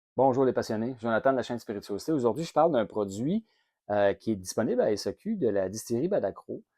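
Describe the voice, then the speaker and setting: Very fast speech from a man with a Quebec accent, dark and mellow in tone, lively in intonation, in a dry, close sound with no echo. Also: medium pitch for a man, quiet background. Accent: Québécois French. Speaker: whisky reviewer, channel host. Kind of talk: product review monologue. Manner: casual, many hesitations.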